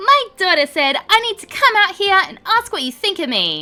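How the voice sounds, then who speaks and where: A woman performs a put-on character voice with an extremely high pitch and a strong Southern accent. She keeps a moderate pace while faint music plays in the background. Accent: thick southern. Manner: confrontational, indignant.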